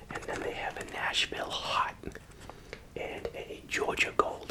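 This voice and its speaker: Relaxed whispering over noticeable background noise. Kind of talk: casual talk to camera while eating, ASMR whisper video. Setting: studio, close-mic ASMR recording. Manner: quiet, whispered, relaxed.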